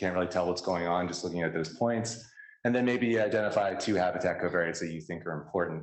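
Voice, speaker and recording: A very fast man's voice, very deep and low in pitch, with an American accent, ordinary pitch variation and audible room echo. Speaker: scientist presenting research. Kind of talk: conference talk.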